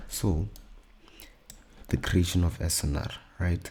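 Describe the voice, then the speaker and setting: This man's voice has a very deep, low pitch with a dark, mellow tone. It is also somewhat breathy. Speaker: trading educator. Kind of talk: tutorial. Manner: casual.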